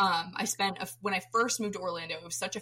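Talking at a fairly quick pace, a woman with an American accent has an unremarkable speaking voice and ordinary pitch variation. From Florida, US. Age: 20s. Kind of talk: casual chat. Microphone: poor audio quality.

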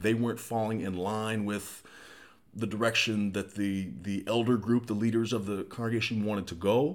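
A man's normal speaking voice, fairly low in pitch, with fairly even intonation at a moderate pace. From small-town US. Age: 40s. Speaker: podcast co-host. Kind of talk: personal life story in casual chat.

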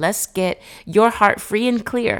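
Female voice with ordinary pitch variation, on a very clean recording with a silent background. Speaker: therapeutic coach and podcast host. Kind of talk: motivational monologue. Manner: conscious of a polished broadcast voice.

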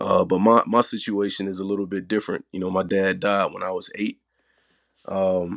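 A man with a Southern US accent, fairly low in pitch, at a moderate pace against a quiet background. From Mississippi, US South. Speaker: guest, father. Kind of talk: casual chat.

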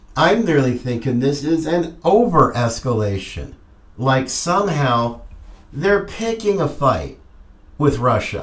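With a fairly high pitch and very wide pitch swings, a man talks at a fairly slow pace in a somewhat breathy voice. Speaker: podcast host. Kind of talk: political commentary monologue. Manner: animated.

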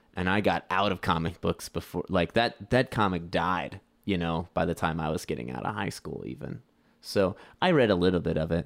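A man's very deep, low voice with vocal fry and an American accent, at a moderate pace with ordinary pitch variation, in a very clean recording with a silent background. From US Midwest, St. Louis. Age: 20s. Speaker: music producer. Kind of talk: casual chat.

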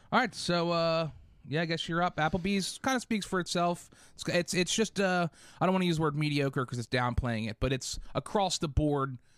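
Loud and high-pitched, a man speaks with lively intonation in a dry, close sound with no echo on a very clean recording with a silent background. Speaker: podcast host. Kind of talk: casual banter. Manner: loud, energetic.

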